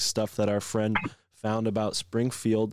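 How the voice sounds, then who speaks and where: In a normal speaking voice with an American accent, a man talks at a fairly quick pace and medium pitch, the sound dry and close with no echo. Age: 20s. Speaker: podcast host. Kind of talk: casual chat.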